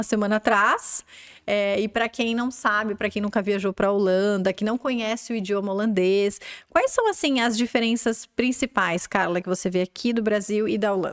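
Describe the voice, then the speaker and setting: At a moderate pace and very even loudness, a woman with a normal speaking voice talks at a fairly high pitch with ordinary pitch variation, the sound dry and close with no echo. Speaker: podcast host, English school owner. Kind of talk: interview.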